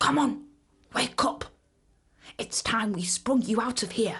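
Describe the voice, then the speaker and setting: In a gruff, put-on character voice, a female-sounding speaker talks at a moderate pace and a fairly high pitch. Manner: brusque, urging.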